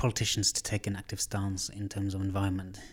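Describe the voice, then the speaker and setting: Against a silent background in a very clean recording, a man speaks somewhat breathily at a fairly low pitch. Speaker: podcast host. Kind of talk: casual interview. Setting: studio.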